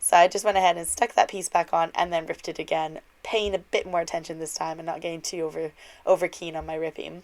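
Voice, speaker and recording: In a very clean recording with a silent background, a woman with a fairly low pitch talks very fast in a flat monotone while her loudness swings widely. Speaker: card-making crafter. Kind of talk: tutorial. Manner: casual, chatty.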